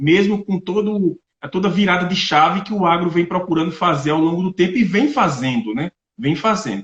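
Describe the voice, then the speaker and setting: This man speaks with a northeastern Brazilian accent at a moderate pace. His pitch is high and his intonation lively. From Brazilian Northeast, Paraíba. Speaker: agronomist and agribusiness representative. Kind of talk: online lecture.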